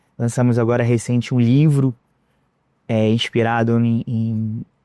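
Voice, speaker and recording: In a Rio de Janeiro accent, a man with a medium-pitched, dark and mellow voice speaks fairly slowly in a flat monotone, the sound dry and close with no echo over a quiet background. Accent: Rio de Janeiro (carioca). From Rio de Janeiro, Brazil. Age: 40s. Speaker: entrepreneur. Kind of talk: interview.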